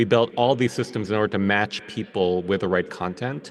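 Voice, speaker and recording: With an American accent and a normal speaking voice, a man talks in a fairly low pitch with ordinary pitch variation. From New York, US. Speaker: technology executive. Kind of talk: panel talk. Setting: video call.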